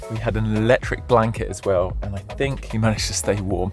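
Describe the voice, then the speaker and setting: Clear music plays behind a man whose voice is recorded dry, with no echo. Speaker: travel vlogger. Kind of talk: casual vlog chat. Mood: cheerful, mildly frustrated. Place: car. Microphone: phone near.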